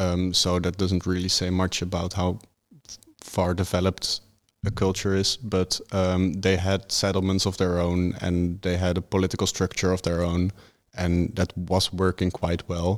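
A man's very deep, low voice in monotone, flat intonation, at a moderate pace and very even loudness, on a very clean recording with a silent background. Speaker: history student. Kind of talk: casual chat. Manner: hesitant, many ums.

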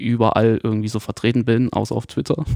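The voice moves at a moderate pace. The background stays quiet. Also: man, dry, close sound with no echo. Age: 20s. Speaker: social media content creator. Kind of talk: casual chat.

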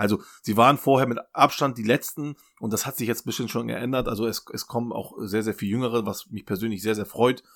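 This very clean recording has a silent background, with a man talking at a medium pitch and fairly even intonation. He goes at a fairly quick pace with hardly any pauses. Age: 40s. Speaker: football data analyst. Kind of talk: casual chat. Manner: halting.

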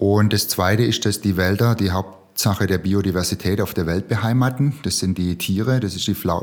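A man with a plain, everyday voice, fairly low pitch, a moderate pace and hardly any pauses. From Swabia, Remstal (Baden-Württemberg, Germany). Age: 50s. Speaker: social entrepreneur. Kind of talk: interview.

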